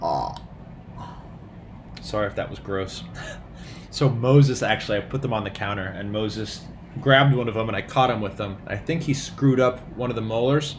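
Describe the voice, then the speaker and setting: A man talks fairly quickly yet with long, frequent pauses. Room echo and background noise are both noticeable. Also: medium pitch for a man, ordinary pitch variation. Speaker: doctor vlogger. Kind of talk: casual vlog. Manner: animated.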